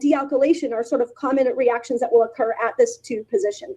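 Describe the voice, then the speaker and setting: A woman speaks at a very fast pace with very wide pitch swings. Her tone is dark and mellow. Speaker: chemistry professor. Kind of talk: scientific lecture. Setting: virtual symposium, remote talk. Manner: many fillers.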